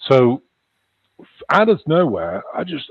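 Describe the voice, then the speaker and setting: A man with a slight Liverpool accent and very wide pitch swings. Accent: slight Liverpool twang. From northwest England. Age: 60s. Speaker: UFO researcher and wellness practitioner. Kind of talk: interview. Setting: live stream.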